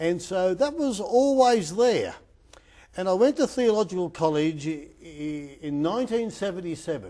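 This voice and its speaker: Speaking in an Australian accent, a man with a high pitch and a dark, mellow tone talks at a moderate pace. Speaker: sports chaplain. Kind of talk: interview. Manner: halting.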